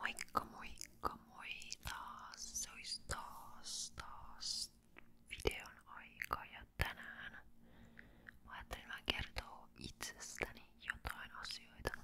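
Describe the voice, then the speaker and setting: A woman whispers at a very slow pace, her loudness swinging widely. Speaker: ASMR creator. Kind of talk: ASMR casual chat to camera. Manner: whispered.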